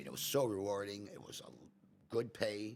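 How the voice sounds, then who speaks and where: A man's very deep, low voice with vocal fry. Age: 70s. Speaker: restaurant owner. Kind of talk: casual chat. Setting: podcast interview.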